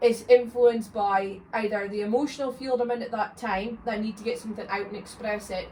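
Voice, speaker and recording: Amid noticeable background noise, a woman with a fairly high pitch talks at a fairly quick pace with hardly any pauses, fairly even intonation and big swings in loudness. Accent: Scottish. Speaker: podcast host. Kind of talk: casual chat.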